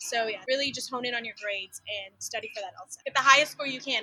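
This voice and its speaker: A woman with an American accent speaks at a very fast pace in a raised, projected voice, her high pitch held to fairly even intonation. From Texas, small town near Dallas. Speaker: law student. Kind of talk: casual interview.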